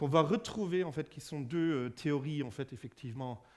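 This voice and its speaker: A man with a German accent speaks in a fairly high pitch. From Germany. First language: German (speaking French). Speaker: physicist giving a public lecture. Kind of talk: public lecture. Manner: halting, many fillers and repetitions.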